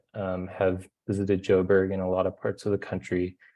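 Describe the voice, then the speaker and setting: A man with a Californian accent speaks at a fairly low pitch. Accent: American (Californian). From California, US. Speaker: solar energy engineer, webinar panelist. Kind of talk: webinar presentation. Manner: hesitant, many fillers.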